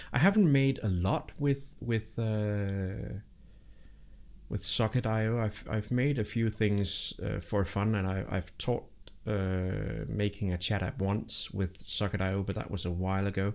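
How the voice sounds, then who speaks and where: A man with a Danish accent speaks at a fairly low pitch and a fairly slow pace. The recording is very clean, with a silent background. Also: ordinary pitch variation. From Denmark. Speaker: programming livestreamer. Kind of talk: live coding stream chat. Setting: live stream. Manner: halting, many fillers and repetitions.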